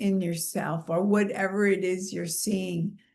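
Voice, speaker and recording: A woman with an American accent speaks very slowly at medium pitch, her voice somewhat breathy. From New York City. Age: 70s. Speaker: spiritual teacher and vlogger. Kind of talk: casual vlog monologue. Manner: animated.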